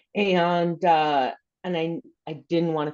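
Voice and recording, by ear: Her voice is low-pitched for a woman, with a slightly mellow tone.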